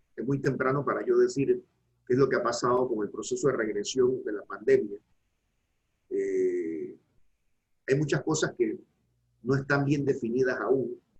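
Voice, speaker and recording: Long pauses come often in this man's speech. He talks at a fairly slow pace. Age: 60s. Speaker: law professor. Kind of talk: academic panel discussion.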